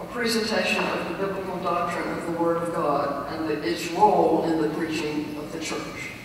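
Strong room echo and light background noise are heard as a woman speaks at a moderate pace. Her pitch is fairly low, with ordinary pitch variation. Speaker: preacher. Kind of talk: lecture. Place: church.

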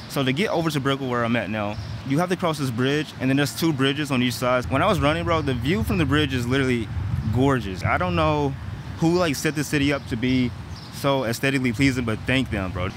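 A man talks very fast with lively intonation. The sound is dry with no echo, though background noise is noticeable. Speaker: vlogger. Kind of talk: casual vlog chat. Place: street. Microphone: earbuds.

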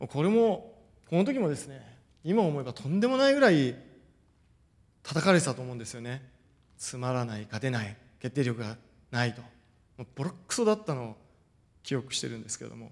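A man at a fairly quick pace, with very wide pitch swings and big swings in loudness. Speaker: football coach. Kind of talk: lecture. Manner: formal. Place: hall. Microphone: podium.

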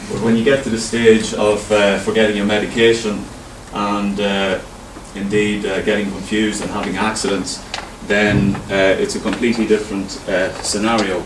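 Over noticeable background noise, a man with a fairly low pitch talks at a moderate pace in a monotone, flat intonation. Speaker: presenter. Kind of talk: presentation talk. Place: meeting room.

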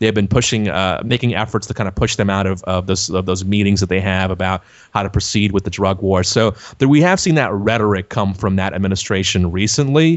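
With an American accent, a man talks at a fairly quick pace in an ordinary speaking voice with ordinary pitch variation. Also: fairly low pitch for a man. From South Texas (Laredo). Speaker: podcast host and website editor. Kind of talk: interview.

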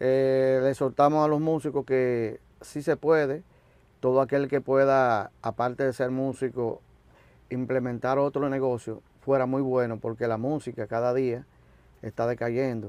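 A man at a fairly slow pace, monotone and flat in intonation, with a dry sound and no echo. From Dominican Republic. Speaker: musician, drummer. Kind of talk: interview. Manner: halting. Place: studio.

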